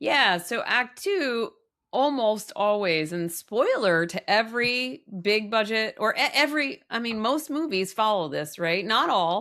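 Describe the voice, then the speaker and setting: In a very clean recording with a silent background, a woman speaks fairly slowly in a bright, sharp, animated tone, her fairly high voice carrying lively intonation. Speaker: filmmaker and climate researcher. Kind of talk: casual interview.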